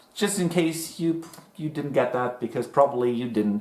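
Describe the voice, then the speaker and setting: This man talks at a fairly slow pace with a German accent and lively intonation. Noticeable background noise runs under his speech. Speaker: music reaction youtuber. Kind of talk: casual chat.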